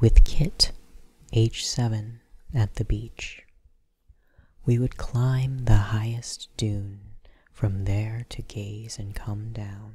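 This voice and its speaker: Soft-spoken and at a very slow pace, the speaker leaves long, frequent pauses. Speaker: ASMR poetry reader. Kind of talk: poetry reading.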